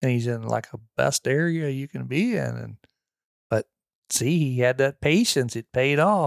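A normal speaking voice from a man with an American accent, medium pitch, ordinary pitch variation and a fairly slow pace, in a dry, close sound with no echo. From Missouri, near St. Louis. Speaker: hunter and landowner. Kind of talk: casual chat. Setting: at guest's home property.

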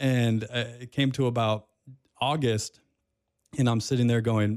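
Delivered at a moderate pace in a monotone, flat intonation, the speech sits on a very clean recording with a silent background. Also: man. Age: 40s. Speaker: radio host and podcaster. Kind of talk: casual interview. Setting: studio.

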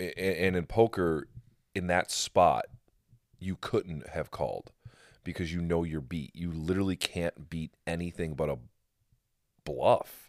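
Fairly slow delivery with ordinary pitch variation and long, frequent pauses, recorded very cleanly against a silent background in a dry, close sound with no echo. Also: man, very deep, low pitch for a man. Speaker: podcast host and independent wrestler. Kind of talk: casual podcast chat. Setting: home basement studio.

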